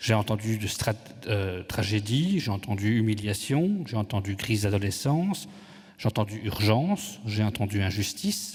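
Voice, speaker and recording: A man speaks at a fairly slow pace in a fairly low, somewhat breathy voice. His pitch varies in an ordinary way. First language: Italian (speaking French). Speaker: conference moderator. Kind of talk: moderating a panel debate. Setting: conference hall with audience.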